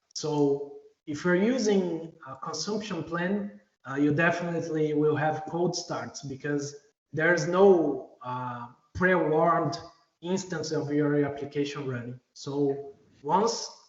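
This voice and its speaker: A very slow, fairly high-pitched man with a non-native accent and ordinary pitch variation. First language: not English. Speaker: software engineer presenting at a user group. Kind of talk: technical presentation. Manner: hesitant, many fillers.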